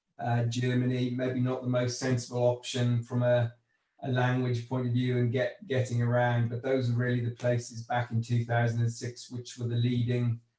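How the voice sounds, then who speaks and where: Speaking with a Welsh accent, a man keeps a medium pitch and a moderate pace. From Wales. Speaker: agricultural investment executive. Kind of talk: panel discussion. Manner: halting.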